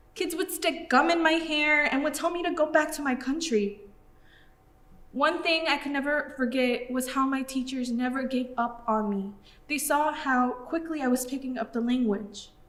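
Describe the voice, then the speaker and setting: This woman talks high in pitch, with ordinary pitch variation, and audible room echo around her voice. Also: moderate pace. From Mexico, raised in US. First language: Spanish. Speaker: student performer. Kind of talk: theatrical monologue.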